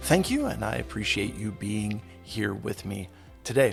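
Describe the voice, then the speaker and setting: With vocal fry, a man speaks at a fairly low pitch and a moderate pace. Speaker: podcast host. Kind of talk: interview questions.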